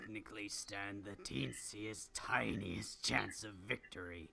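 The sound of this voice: Set over music in the background, a put-on character voice sounds gravelly and raspy with a menacing tone. It moves at a fairly slow pace.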